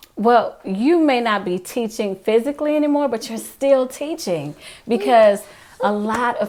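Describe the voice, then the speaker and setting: A woman speaks with an American accent. She has a normal speaking voice. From Texas, Fort Worth. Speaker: interviewer. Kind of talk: interview.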